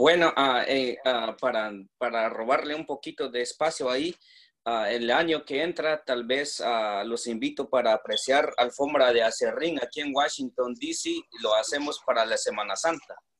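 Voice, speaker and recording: The recording is very clean with a silent background. A man speaks at a fairly slow pace. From Guatemala, Quetzaltenango. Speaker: painter. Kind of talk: personal testimony. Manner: halting, many fillers.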